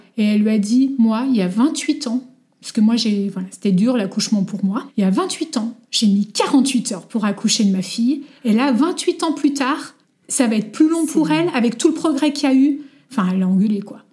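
A woman with a fairly high pitch and a dark, mellow tone speaks at a moderate pace with lively intonation. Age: 40s. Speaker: mother sharing her story. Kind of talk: testimony.

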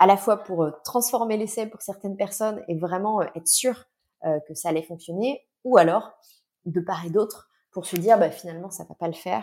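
Her voice is medium-pitched and dark and mellow, and this woman talks at a moderate pace with ordinary pitch variation and big swings in loudness. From western France, Nantes. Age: 30s. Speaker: HR consultant. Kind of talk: casual interview chat. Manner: hesitant, many fillers.

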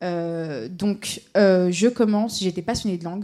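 A woman with a dark, mellow tone and a medium pitch talks at a very slow pace with fairly even intonation. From Paris suburbs (Seine-Saint-Denis). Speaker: legal tech project manager, lawyer. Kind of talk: panel talk.

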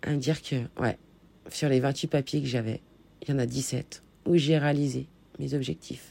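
A woman speaks with a very deep, low pitch, vocal fry and a dark, mellow tone. She goes at a fairly slow pace with long, frequent pauses. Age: 30s. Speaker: podcaster and life coach. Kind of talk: personal monologue podcast. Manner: hesitant with fillers.

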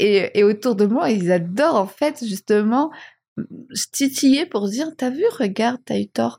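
A woman's fairly high voice, dark and mellow in tone, somewhat breathy, with lively intonation and a fairly slow pace. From Madagascar. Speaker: marketing and communication director. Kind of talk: interview conversation.

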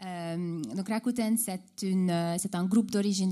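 Using a dark, mellow tone and a medium pitch, a woman with a Hungarian accent speaks with ordinary pitch variation. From Hungary. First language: Hungarian (speaking French). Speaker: e-commerce customer service executive. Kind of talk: panel discussion. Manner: halting, many repetitions.

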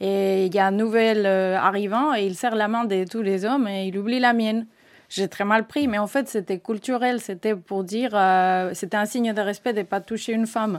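With a Spanish accent, a woman speaks at a moderate pace and medium pitch, her intonation fairly even, on a very clean recording with a silent background. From Spain. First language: Spanish (speaking French). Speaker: engineering project manager. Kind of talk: corporate podcast interview.

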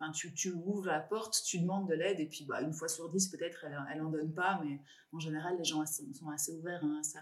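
Noticeable background noise sits behind a woman with a fairly low pitch. She talks at a fairly quick pace with fairly even intonation. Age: 40s. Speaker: podcast host. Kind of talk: interview. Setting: office.

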